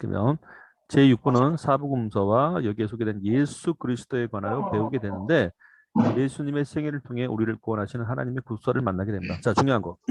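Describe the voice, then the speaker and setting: Against a quiet background, a man talks at a very fast pace in a medium pitch with ordinary pitch variation, and the sound is dry and close with no echo. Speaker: church Bible teacher. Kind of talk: lecture.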